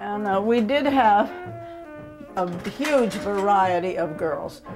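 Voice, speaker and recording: A woman with an American accent, music in the background. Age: 70s. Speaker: burlesque dancer. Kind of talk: documentary interview answer.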